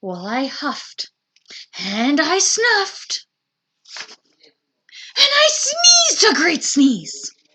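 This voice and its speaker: A woman's put-on character voice at an extremely high pitch, very slow in pace, with long, frequent pauses. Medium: read story. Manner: chatty, aggrieved, wisecracking.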